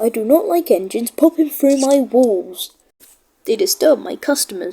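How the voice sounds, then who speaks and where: Putting on a character voice, a woman speaks at a high pitch and a moderate pace. Her pitch swings very widely. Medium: read story. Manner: crisp, fussy.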